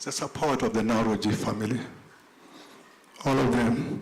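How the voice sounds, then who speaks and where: Amid audible room echo, a man with a medium pitch speaks at a moderate pace with ordinary pitch variation. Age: 60s. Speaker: tribute speaker, former political prisoner. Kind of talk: tribute speech.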